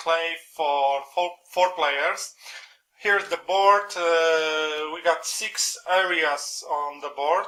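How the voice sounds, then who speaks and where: Very slow speech from a man with a Polish accent, high-pitched, with fairly even intonation. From Poland. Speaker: board game reviewer. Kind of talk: review. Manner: halting, many fillers.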